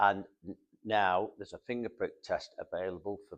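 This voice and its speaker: A man talks in a Manchester accent. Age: 70s. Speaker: heart patient, support group volunteer. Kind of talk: interview testimony. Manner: halting, many fillers.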